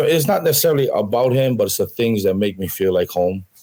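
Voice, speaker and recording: A man talks at a very fast pace in a medium pitch, his tone dark and mellow and his intonation lively. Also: very even loudness. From Hawaii. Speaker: country singer. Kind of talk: interview.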